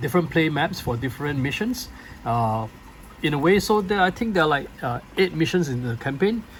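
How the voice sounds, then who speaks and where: Somewhat breathy and fairly high-pitched, a man talks at a fairly quick pace with very wide pitch swings. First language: not English. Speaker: board game reviewer. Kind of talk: unboxing video. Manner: halting, many fillers.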